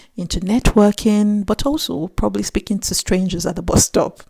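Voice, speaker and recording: A woman's somewhat breathy voice, dark and mellow in tone, with ordinary pitch variation. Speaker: YouTuber. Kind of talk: vlog talk to camera. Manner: not fast.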